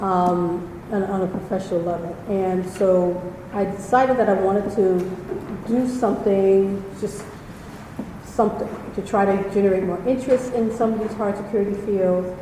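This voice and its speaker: A woman with an American accent speaks at a medium pitch and with fairly even intonation, with audible room echo and noticeable background noise. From New York. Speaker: former diplomat and nonprofit founder. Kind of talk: public talk. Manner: fast. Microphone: too quiet, then handheld mic.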